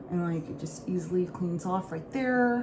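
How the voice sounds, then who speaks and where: With an American accent, a woman talks as noticeable background noise carries on around her. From Houston, Texas. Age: 40s. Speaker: lifestyle vlogger. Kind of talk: casual makeup talk to camera.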